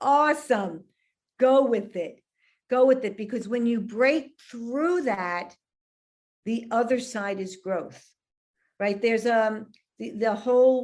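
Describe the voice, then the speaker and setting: Speaking at a very slow pace with long, frequent pauses, a woman with a New York accent uses a fairly high voice and ordinary pitch variation over a quiet background. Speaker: relationship expert and author. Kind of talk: casual interview chat.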